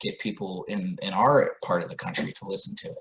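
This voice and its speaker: Speaking with an American accent, a man keeps to a moderate pace. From US South (Atlanta). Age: 40s. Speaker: musician and author. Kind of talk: casual interview.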